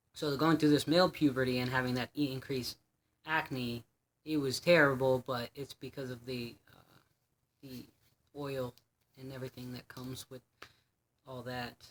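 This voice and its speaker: The sound is dry and close with no echo, the delivery monotone and flat at a moderate pace, with long, frequent pauses and big swings in loudness. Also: man, medium pitch for a man. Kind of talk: personal vlog. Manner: halting, many fillers.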